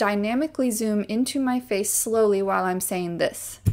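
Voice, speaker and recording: Pitched fairly high, a woman's voice moves with ordinary pitch variation. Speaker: YouTuber teaching video editing. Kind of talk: tutorial. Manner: fast; casual.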